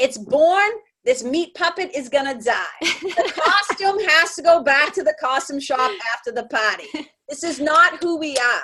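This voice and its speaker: Raised and projected, this voice has a New England accent, lively intonation and a bright, sharp tone, moving at a fairly slow pace. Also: woman, high pitch for a woman. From Boston, Massachusetts. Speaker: spiritual mentor. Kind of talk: podcast interview answer.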